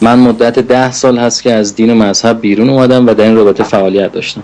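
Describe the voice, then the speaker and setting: A man speaks in a flat, monotone delivery at a medium pitch. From Iran, Qom. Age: 30s. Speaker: political activist. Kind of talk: political address.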